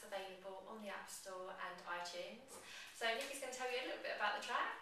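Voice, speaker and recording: A woman talks very fast with ordinary pitch variation. There is light background noise and audible room echo. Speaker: hypnotherapist. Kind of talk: casual talk to camera. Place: home room. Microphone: camera far.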